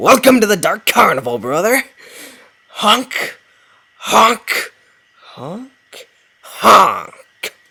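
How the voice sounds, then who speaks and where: Speaking very slowly at a fairly high pitch, a put-on character voice leaves long, frequent pauses. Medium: read story. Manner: menacing.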